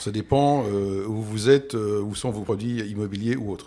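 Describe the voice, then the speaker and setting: At a fairly quick pace, a man talks in a fairly low voice with a dark, mellow tone. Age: 60s. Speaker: property investment expert, expatriate. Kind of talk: podcast interview.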